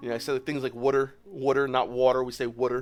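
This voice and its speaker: Very fast speech in a South Philly accent, with monotone, flat intonation. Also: man, medium pitch for a man. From South Philadelphia, USA. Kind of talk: casual.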